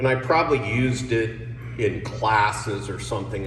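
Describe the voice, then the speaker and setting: A fairly low-pitched man with an American accent, audible room echo and noticeable background noise. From New Jersey. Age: 60s. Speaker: political candidate. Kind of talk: campaign speech.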